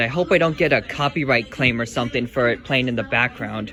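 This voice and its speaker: A man speaks at a fairly quick pace with ordinary pitch variation. There is noticeable background noise. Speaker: vlogger. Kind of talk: casual vlog narration. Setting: in a store.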